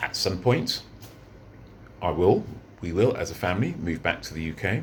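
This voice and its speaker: A man speaks at a moderate pace with a very deep, low pitch, vocal fry, and lively intonation. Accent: British. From London, England. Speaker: vlogger. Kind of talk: unscripted monologue vlog. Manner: halting, many fillers and repeats.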